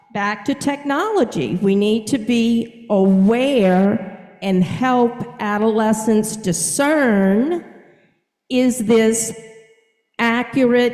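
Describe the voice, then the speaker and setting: At a very slow pace, a woman with a fairly high voice speaks in a space with audible room echo. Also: ordinary pitch variation, very even loudness. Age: 60s. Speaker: counselor / mental health professional. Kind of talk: lecture. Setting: video call. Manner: conversational, with fillers.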